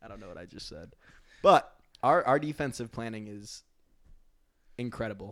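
Here is a man with a New Jersey accent. He speaks at a moderate pace. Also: very clean recording, silent background. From New Jersey, Jersey Shore. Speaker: sports podcast co-host. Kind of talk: casual chat.

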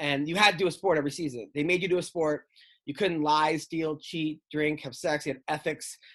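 At a moderate pace, a man with an American accent and a normal speaking voice talks at a fairly high pitch against a quiet background. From New York. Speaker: stand-up comedian. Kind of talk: casual chat. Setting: video call.

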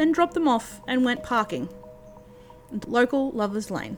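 The speech moves at a fairly quick pace with lively intonation, and background noise is noticeable. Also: woman. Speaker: podcast host. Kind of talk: ghost story telling, reading aloud a scripted urban legend. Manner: steady, narrative storytelling pace.

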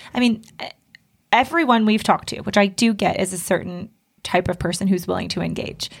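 Her pitch fairly high, a woman speaks in a plain, everyday voice with ordinary pitch variation. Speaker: couples counselor. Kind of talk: casual banter between co-hosts.

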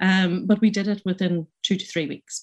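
In a Northern Irish accent, the speaker goes at a moderate pace with fairly even intonation. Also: woman. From Northern Ireland. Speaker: pharmacist and business owner. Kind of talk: panel discussion. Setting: remote video link.

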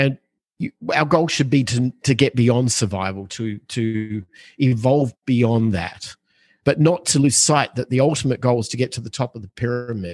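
Here is a man with an unremarkable speaking voice at medium pitch. He speaks at a moderate pace with ordinary pitch variation over a quiet background. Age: 50s. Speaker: real estate investor. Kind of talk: interview.

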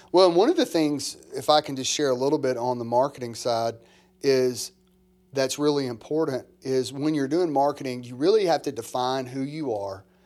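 In an ordinary speaking voice, a man talks at medium pitch and a moderate pace with ordinary pitch variation, on a very clean recording with a silent background. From US South, small-town Mississippi. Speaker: pastor, church planter. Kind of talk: casual chat.

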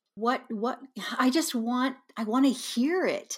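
On a very clean recording with a silent background, a woman with a Midwestern American accent speaks at a very slow pace with ordinary pitch variation. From Kansas. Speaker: high school yearbook advisor. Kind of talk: interview conversation.

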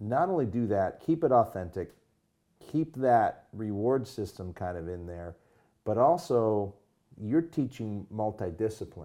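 Over a quiet background, a man with an unremarkable speaking voice talks at a fairly slow pace, his fairly low pitch carrying lively intonation. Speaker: podcast host. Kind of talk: interview.

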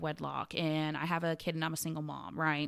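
The woman's voice has a bright, sharp tone. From Puerto Rican family, grew up partly in Florida. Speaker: curvy model and entrepreneur. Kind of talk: casual interview chat. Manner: animated.

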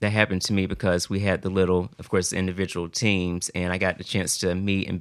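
In a Southern US accent, a man talks at a very fast pace with a very deep, low pitch and monotone, flat intonation, on a very clean recording with a silent background. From US South, South Carolina. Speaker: college student. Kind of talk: casual chat.

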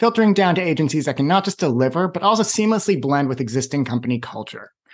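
Very fast, lively speech in an American accent against a quiet background. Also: man. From Boston. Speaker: podcast host. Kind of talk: interview.

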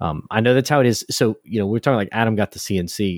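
With a Southern US accent, a man speaks at a fairly quick pace and a fairly low pitch in a dry, close sound with no echo on a very clean recording with a silent background. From US South, South Louisiana. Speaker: hobby maker, podcast co-host. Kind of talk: casual chat.

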